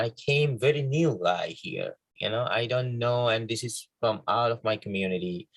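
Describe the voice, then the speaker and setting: A somewhat breathy man's voice at a moderate pace, with ordinary pitch variation. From Bangladesh. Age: young. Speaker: filmmaker. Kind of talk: interview. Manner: halting.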